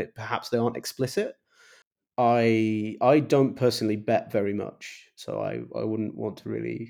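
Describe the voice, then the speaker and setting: At a moderate pace, a man talks with an English accent. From England. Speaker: think tank fellow and superforecaster. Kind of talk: casual chat. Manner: halting.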